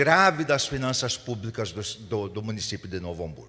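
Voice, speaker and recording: A man's bright, sharp tone shows vocal fry. His pitch swings very widely. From Rio Grande do Sul interior, Brazil. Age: 70s. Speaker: mayoral candidate. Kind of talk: candidate debate answer. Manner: halting, with many restarts.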